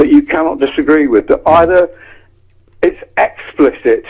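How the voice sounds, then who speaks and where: A man speaks in an English accent. His pace is moderate. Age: 70s. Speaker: copywriter. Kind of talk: casual chat. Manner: halting.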